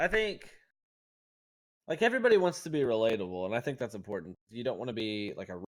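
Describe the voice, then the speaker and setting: A man speaks at a fairly quick pace with very wide pitch swings. The recording is very clean, with a silent background. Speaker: podcast host and streamer. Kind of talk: casual chat. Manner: loud.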